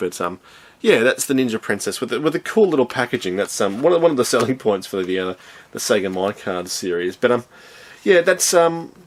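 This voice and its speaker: Here a man speaks with an Australian accent. His intonation is lively. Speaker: retro video game reviewer. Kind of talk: casual video review. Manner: halting, many filler ums.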